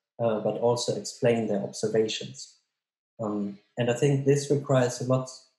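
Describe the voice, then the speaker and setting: Over a quiet background with audible room echo, a man speaks in a dark, mellow, somewhat breathy tone. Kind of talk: interview answer. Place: home room. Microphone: webcam.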